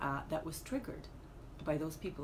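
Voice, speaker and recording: A woman's very deep, low voice with ordinary pitch variation, audible room echo and noticeable background noise. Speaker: life coach. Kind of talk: motivational talk to camera. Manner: hesitant, many fillers.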